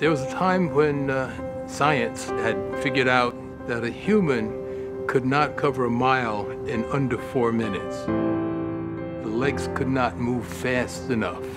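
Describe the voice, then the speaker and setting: Loud music plays in the background as a man speaks at a very slow pace with hardly any pauses. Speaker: bodybuilder and personal trainer. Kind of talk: documentary interview answer. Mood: calm, reflective. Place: garden.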